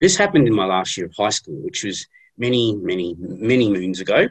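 Against a quiet background, a man speaks at a moderate pace with a somewhat breathy voice. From Western Australia, Geraldton area. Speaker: data analyst. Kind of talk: presentation. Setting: video call. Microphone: video call.

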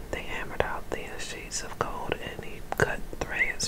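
Whispering and soft-spoken, the speaker goes at a fairly slow pace over loud background noise. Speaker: scripture reader. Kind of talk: reading aloud from the Bible. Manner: soft ASMR whisper reading scripture. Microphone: phone near.

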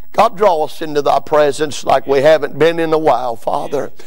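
A man speaks at a moderate pace. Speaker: preacher. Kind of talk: sermon. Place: church. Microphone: podium.

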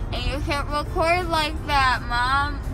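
Using a raised, projected voice, a woman speaks at a very slow pace with fairly even intonation over noticeable background noise. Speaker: vlogger after jaw surgery. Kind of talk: casual vlog chat. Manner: sleepy, mumbled, numb-mouthed talk. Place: car.

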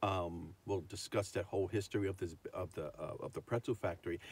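A man talks at a moderate pace in a somewhat breathy voice, and the sound is dry with no echo. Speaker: vlogger. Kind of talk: casual vlog chat. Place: car. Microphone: phone near.

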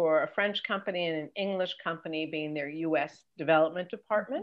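A woman talks at a fairly quick pace. The background is quiet. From Los Angeles. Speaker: entertainment career coach and TV executive; entertainment career coach. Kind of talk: interview. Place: home room. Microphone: video call.

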